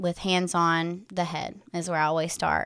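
In a very clean recording with a silent background, a woman with a Tennessee accent speaks in a fairly low voice with monotone, flat intonation. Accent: Southern US (Tennessee). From West Tennessee. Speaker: doula and energy healer. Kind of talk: casual interview chat.

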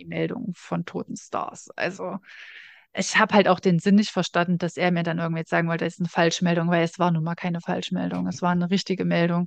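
Very fast and monotone, a woman talks in a fairly low pitch, the sound dry and close with no echo. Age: 30s. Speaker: podcast co-host. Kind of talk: casual chat.

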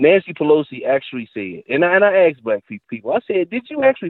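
The speech moves at a very fast pace with very wide pitch swings. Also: man. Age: 40s. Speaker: caller, military veteran. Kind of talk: call-in conversation.

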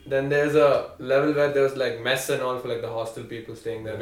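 A man's medium-pitched voice at a very fast pace, with noticeable background noise. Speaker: college student. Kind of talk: casual chat.

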